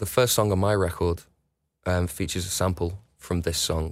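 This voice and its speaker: There is a man with a Liverpool accent in a very clean recording with a silent background. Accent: Liverpool (Scouse). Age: 40s. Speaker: musician. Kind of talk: casual chat. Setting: studio. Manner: halting.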